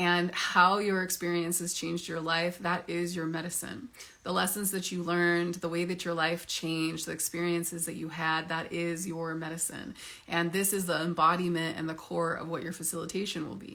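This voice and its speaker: Her voice is bright and sharp, fairly low in pitch for a woman, flat and monotone in intonation, and moves at a moderate pace. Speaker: psychedelic facilitation coach. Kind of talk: sales pitch.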